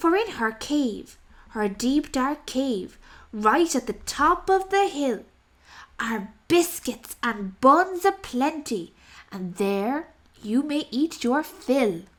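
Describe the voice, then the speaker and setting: Using a put-on character voice, a woman speaks at a high pitch and a very slow pace on a very clean recording with a silent background. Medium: read story. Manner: polite.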